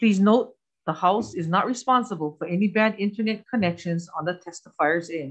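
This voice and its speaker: The woman speaks at a fairly quick pace with lively intonation. The background is quiet. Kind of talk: reading procedural rules at a hearing. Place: meeting room. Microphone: podium.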